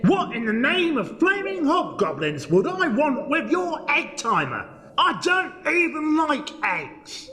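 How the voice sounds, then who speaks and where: A man puts on a gruff character voice at an extremely high pitch. He talks at a fairly slow pace with hardly any pauses over clear background noise. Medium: audio drama. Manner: gruff, blustering, full of insults.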